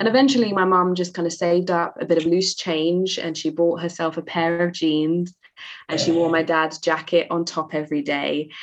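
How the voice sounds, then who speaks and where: A woman with a London accent, fairly low in pitch, at a moderate pace with fairly even intonation. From East London, England. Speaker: author and poet. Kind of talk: interview.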